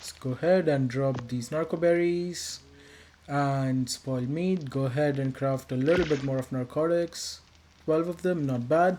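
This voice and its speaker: Speaking with an Indian accent, the voice moves at a fairly slow pace in a relaxed tone. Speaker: gaming youtuber. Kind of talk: gameplay voiceover commentary. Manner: casual, relaxed.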